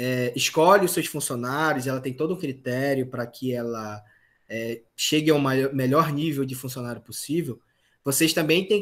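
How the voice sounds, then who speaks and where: A normal speaking voice, moderate in pace and with ordinary pitch variation. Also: man. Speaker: university lecturer. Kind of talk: online lecture.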